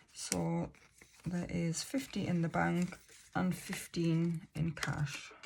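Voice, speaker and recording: A woman with an English accent, a fairly low pitch, a very slow pace, fairly even intonation and very even loudness. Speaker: budgeting vlogger. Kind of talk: casual tutorial. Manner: wobbly; hesitant fillers.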